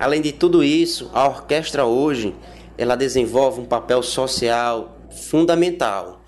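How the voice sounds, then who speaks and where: There is noticeable background noise. A man talks at a fairly slow pace in a medium pitch with ordinary pitch variation. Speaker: orchestra conductor. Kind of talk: interview. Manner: hesitant with filler words.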